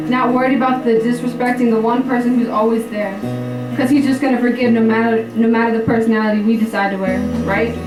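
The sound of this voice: Over music in the background, a woman with a fairly high pitch talks at a very fast pace. Her intonation is monotone and flat, and her loudness is very even.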